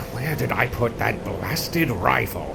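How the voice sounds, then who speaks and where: A man performs a put-on character voice at a moderate pace. Loud background noise fills the recording. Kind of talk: theatrical old-man acting. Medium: audio drama. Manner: stammering, repeats words, fussy.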